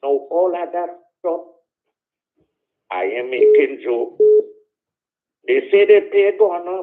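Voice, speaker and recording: Speaking at a very slow pace, a man leaves long, frequent pauses. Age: 80s+. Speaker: caller. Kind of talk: casual chat.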